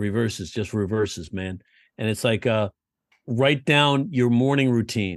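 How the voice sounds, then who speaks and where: A man with a medium pitch speaks at a fairly slow pace with ordinary pitch variation. His is an unremarkable speaking voice, heard against a quiet background. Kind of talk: casual chat.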